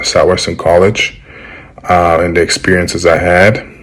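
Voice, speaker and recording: Over noticeable background noise, a man with a very deep, low voice speaks at a fairly slow pace. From Germany. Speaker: former college football offensive lineman. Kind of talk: interview answer. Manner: casual, hesitant with many fillers.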